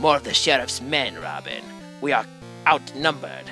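A put-on character voice speaks at a moderate pace. Clear music plays in the background. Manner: deferential, alarmed.

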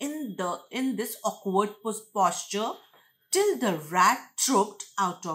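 A natural reading voice with lively intonation is heard over a quiet background.

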